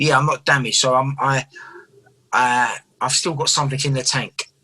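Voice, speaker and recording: In an East London accent, a man talks fairly quickly with a fairly high, bright, sharp tone and flat, monotone intonation, the sound dry and close with no echo. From England, East London. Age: 30s. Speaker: professional boxer. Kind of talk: casual interview.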